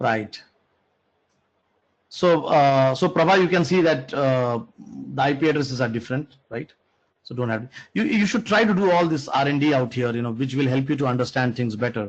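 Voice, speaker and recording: At a fairly quick pace but with long, frequent pauses, a man speaks at a fairly high pitch with lively intonation. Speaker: programming instructor. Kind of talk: online lecture. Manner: halting.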